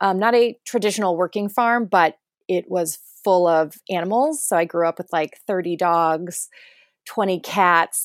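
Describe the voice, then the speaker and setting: In a very clean recording with a silent background and a dry, close sound with no echo, a woman with an American accent talks at a moderate pace in a normal speaking voice, her medium pitch showing ordinary variation. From rural northeast Ohio, US. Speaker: film director. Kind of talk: interview.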